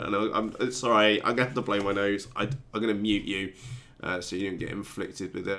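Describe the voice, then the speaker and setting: With a British accent, a man talks at a moderate pace. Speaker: RC hobby youtuber. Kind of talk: live stream chat. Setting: live stream. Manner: halting, many fillers.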